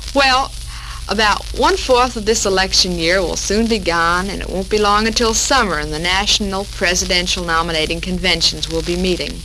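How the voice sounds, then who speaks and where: Moderate pace in an American accent, with noticeable background noise. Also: woman. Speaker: radio show host. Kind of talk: 1940s radio talk show.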